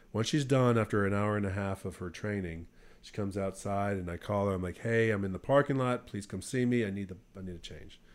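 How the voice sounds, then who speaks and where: An unremarkable speaking voice from a man, fairly low in pitch, with ordinary pitch variation and a moderate pace, on a very clean recording with a silent background. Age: 30s. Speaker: Marine Corps reservist, off-road enthusiast. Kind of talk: casual chat. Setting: small home studio room.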